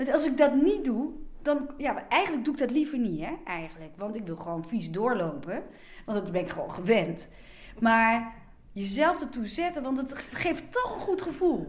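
A woman speaks at a high pitch with very wide pitch swings. Her pace is moderate, and audible room echo surrounds her. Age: 50s. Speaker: blogger and magazine writer. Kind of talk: interview.

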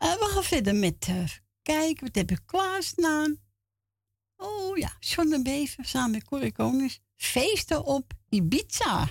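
Her pitch high and swinging very widely, a woman talks at a very slow pace. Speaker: radio presenter. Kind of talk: casual radio show with call-ins.

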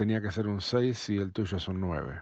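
Against a quiet background, a man with a Rioplatense accent speaks in a fairly low voice with fairly even intonation. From Argentina, Buenos Aires. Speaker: drummer. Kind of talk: recorded personal anecdote.

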